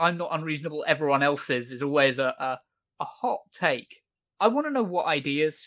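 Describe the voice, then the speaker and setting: On a very clean recording with a silent background, a man uses a normal speaking voice at a fairly high pitch. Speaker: podcast host. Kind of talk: casual commentary podcast.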